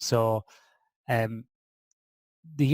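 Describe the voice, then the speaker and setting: A man talks with an Irish midlands accent at a medium pitch. The sound is dry and close, without echo. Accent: Irish (Athlone). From Ireland (Athlone). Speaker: sleep and performance researcher. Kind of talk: podcast interview.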